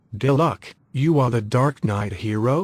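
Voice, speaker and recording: A man puts on a growling character voice at a medium pitch. He speaks at a fairly slow pace. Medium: video game. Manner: calm, understated.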